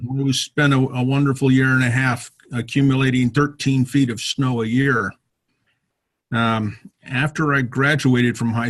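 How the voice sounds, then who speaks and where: Somewhat breathy with an American accent, the voice moves at a moderate pace with fairly even intonation. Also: man. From US, military family moving around. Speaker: retired army officer, motorcyclist. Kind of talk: self-introduction talk to a club. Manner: many filler words (uh, um).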